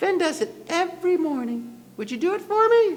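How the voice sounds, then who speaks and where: A man uses a squeaky, put-on character voice at an extremely high pitch. He keeps a moderate pace. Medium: read story. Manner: calm, cunning.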